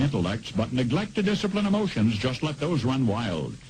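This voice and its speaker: A man speaks with an unremarkable speaking voice. His intonation is lively. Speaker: radio commentator. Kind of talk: dramatic spoken-word monologue.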